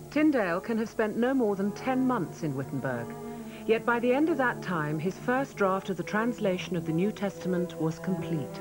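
Over music in the background, a woman at medium pitch speaks at a moderate pace, her voice swinging very widely in pitch. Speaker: narrator. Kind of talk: documentary narration.

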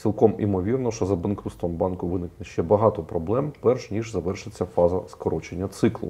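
A man's fairly low, somewhat breathy voice with a dark, mellow tone, ordinary pitch variation and a moderate pace. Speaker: show host. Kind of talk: panel discussion. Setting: studio. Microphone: lapel.

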